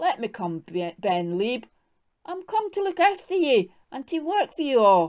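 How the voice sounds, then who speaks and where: A put-on character voice, whiny with very wide pitch swings. It moves at a moderate pace with long, frequent pauses. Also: woman, high pitch for a woman. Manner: whining, pleading.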